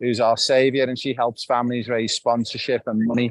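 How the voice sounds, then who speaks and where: A Liverpool accent at a fairly quick pace, monotone and flat, with a dry, close sound and no echo. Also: man. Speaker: football academy host. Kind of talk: live interview. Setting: live video call from Barcelona.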